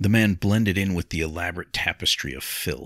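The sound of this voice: Reading aloud in an unforced voice.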